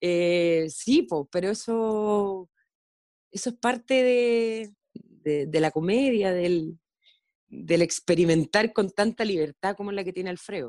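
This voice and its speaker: At a very slow pace, a woman with a medium pitch and a dark, mellow tone speaks with lively intonation, the sound dry and close with no echo. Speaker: actress. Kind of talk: casual interview. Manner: halting, with many fillers.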